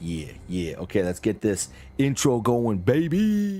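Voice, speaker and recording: Over music in the background, a man with a medium pitch speaks at a very slow pace with very wide pitch swings. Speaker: tabletop game master. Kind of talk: casual live-stream host talk.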